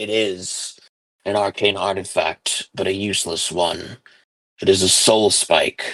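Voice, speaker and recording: This put-on character voice is raspy and delivered in a monotone, flat intonation. The sound is dry and close, with no echo. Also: man, fairly low pitch for a man, fairly slow pace. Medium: actual play. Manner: cold, clipped.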